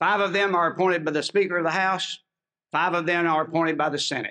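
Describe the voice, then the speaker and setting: Speaking in a Southern US accent, a man uses a high pitch and fairly even intonation. The tone is bright and sharp. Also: quiet background. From Tennessee. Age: 70s. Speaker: state legislator. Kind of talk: speech. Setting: outdoors.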